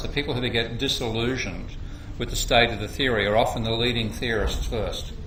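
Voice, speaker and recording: With an Australian accent, the speaker talks at a moderate pace with fairly even intonation, amid audible room echo and noticeable background noise. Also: man. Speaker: economics lecturer. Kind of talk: workshop lecture. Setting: workshop room with audience.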